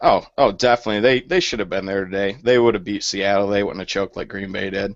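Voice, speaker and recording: Very fast speech from a man with a Michigan accent. His pitch is fairly low and his intonation is monotone and flat. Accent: northern US (Michigan). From Michigan, Flint area. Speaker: storm chaser. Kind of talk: casual chat. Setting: video call.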